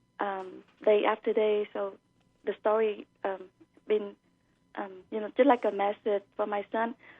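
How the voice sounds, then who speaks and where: A woman speaks at a fairly slow pace with long, frequent pauses and a Vietnamese accent. Her medium-pitched voice stays monotone, with flat intonation. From Vietnam (Saigon). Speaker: author. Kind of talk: radio interview. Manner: halting, many fillers.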